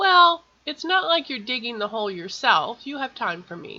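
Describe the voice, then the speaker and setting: A woman uses a put-on character voice, high-pitched with very wide pitch swings. She keeps a moderate pace. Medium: read story.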